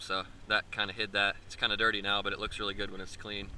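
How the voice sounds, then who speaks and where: A man talks at a very fast pace in a fairly low pitch with monotone, flat intonation. The sound is dry with no echo, and there is light background noise. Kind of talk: casual walkaround commentary. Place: street. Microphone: phone near.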